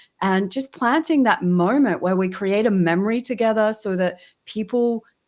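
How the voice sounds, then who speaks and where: Speaking with an Australian accent, a woman uses an animated tone at a moderate pace. Her pitch varies an ordinary amount, and the recording is very clean with a silent background. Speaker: LinkedIn B2B growth strategist. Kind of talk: casual interview chat.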